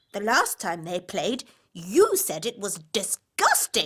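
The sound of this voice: This cartoonish character voice sounds female, sitting at a medium pitch and moving at a fairly slow pace.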